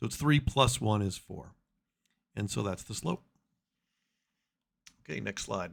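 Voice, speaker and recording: Vocal fry, very wide pitch swings and long, frequent pauses. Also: man, fairly low pitch for a man. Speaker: math teacher. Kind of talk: tutorial. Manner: fast.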